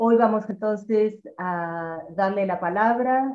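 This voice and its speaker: With ordinary pitch variation, a female speaker takes a fairly slow pace. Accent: Rioplatense. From Argentina. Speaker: seminar moderator. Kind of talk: formal moderation. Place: home room. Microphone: video call.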